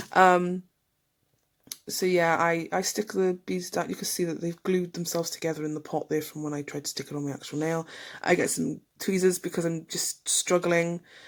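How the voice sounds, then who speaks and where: In an English accent, a woman with a fairly low pitch speaks in a monotone, flat intonation on a very clean recording with a silent background. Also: moderate pace. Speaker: nail tutorial youtuber. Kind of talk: voice-over tutorial narration. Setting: home. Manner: casual, hesitant with many ums.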